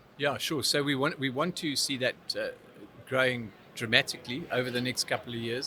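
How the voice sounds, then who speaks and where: Talking at a fairly quick pace in a southern African accent, a man has a medium pitch, a bright, sharp tone and fairly even intonation. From Zimbabwe. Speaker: technology business expert. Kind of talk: interview. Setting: trade event.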